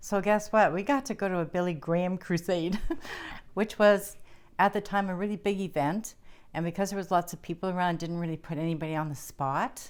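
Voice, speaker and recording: A woman with an unremarkable speaking voice at medium pitch, fairly quick pace and ordinary pitch variation, on a very clean recording with a silent background. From Cape Breton, Nova Scotia, Canada. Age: 60s. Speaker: retired school counselor. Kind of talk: interview recollection.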